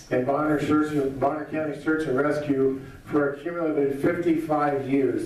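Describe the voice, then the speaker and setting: Speaking at a moderate pace, a man has a fairly high voice. There is audible room echo and noticeable background noise. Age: 60s. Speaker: political candidate. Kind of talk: campaign speech. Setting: candidate forum with audience.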